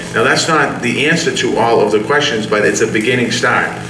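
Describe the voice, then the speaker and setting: With an American accent, a man talks at a very fast pace and medium pitch amid noticeable background noise and audible room echo. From Boston, Dorchester. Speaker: political candidate. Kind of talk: campaign speech at forum. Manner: repetitive, halting starts.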